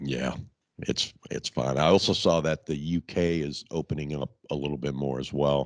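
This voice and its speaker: In a dry, close sound with no echo, a man with a very deep, low pitch speaks at a moderate pace with fairly even intonation. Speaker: podcast host. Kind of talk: casual chat.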